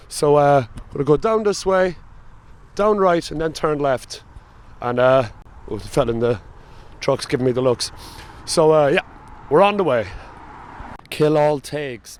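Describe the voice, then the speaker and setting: A man with a strong Cork accent and a fairly high pitch speaks at a moderate pace, with lively intonation and long, frequent pauses. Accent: thick Cork. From Ireland, Cork. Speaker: travel vlogger. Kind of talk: casual vlog narration.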